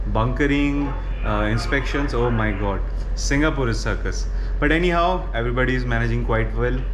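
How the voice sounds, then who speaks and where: Noticeable background noise fills the recording. Through it, a man talks at a fairly quick pace. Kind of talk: casual vlog chat. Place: boat. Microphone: phone near.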